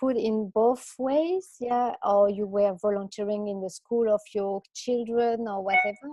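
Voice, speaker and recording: In a French accent, a woman talks at a fairly slow pace and a fairly high pitch, with ordinary pitch variation. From France. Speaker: career coach. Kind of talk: workshop presentation.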